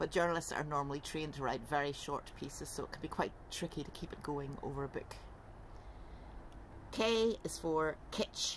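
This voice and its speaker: This woman has a very deep, low voice. There is vocal fry in it. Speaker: writer and tutor. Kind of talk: casual talk to camera. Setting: outdoors. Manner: raised voice, emphatic.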